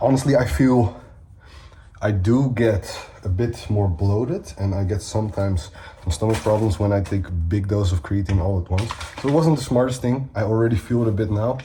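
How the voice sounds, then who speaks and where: The speaker has a Dutch accent and lively intonation at a moderate pace, with long, frequent pauses. Background noise is noticeable. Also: man. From Netherlands. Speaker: bodybuilder and fitness coach. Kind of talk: vlog. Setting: at home.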